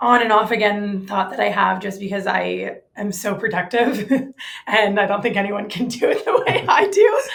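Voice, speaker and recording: The room echo is audible as a woman speaks. Her pace is fairly slow. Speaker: real estate agent. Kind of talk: interview. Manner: casual, filler-heavy.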